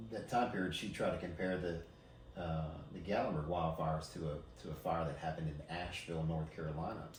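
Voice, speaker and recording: Noticeable background noise and audible room echo fill this recording of a man. His very deep, low voice moves at a fairly quick pace with ordinary pitch variation. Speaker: emergency services leader. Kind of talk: podcast interview. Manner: halting, many fillers and repeats.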